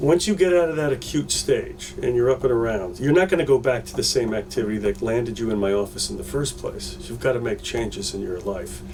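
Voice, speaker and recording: Against noticeable background noise, a man talks at a fairly quick pace with hardly any pauses. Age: 60s. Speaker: pain management doctor. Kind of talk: interview. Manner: halting, with fillers and repeats.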